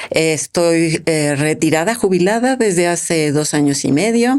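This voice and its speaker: With noticeable background noise behind her, a woman with a fairly low pitch talks at a fairly slow pace using lively intonation. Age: 70s. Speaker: retiree, first-time author. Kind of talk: interview.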